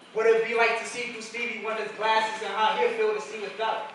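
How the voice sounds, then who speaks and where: There is noticeable background noise in this clip. A man with a high voice speaks at a moderate pace. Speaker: spoken word poet. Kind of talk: slam poetry performance. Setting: live stage.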